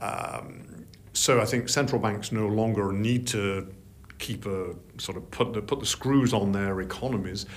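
In a room with audible echo, a man with a Yorkshire accent talks at a fairly slow pace, his pitch fairly low and his intonation fairly even. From Yorkshire, northern England. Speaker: investment strategist. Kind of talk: interview. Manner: halting.

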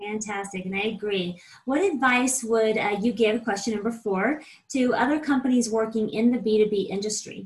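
The voice sounds upbeat and enthusiastic, somewhat breathy, with ordinary pitch variation at a moderate pace. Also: woman, fairly high pitch for a woman. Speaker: podcast host. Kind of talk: interview, scripted intro. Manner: upbeat, enthusiastic.

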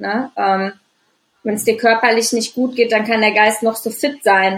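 A woman talks at a very slow pace, with long, frequent pauses. Her intonation is monotone and flat. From Düsseldorf, Germany. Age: 30s. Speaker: anxiety and stress coach. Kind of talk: interview, personal life story. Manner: many filler sounds, hesitant.

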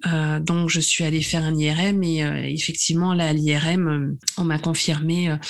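Noticeable background noise runs throughout. The delivery is very slow. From southern France (Nice area). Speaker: naturopath. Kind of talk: testimony. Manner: halting, frequent repetitions.

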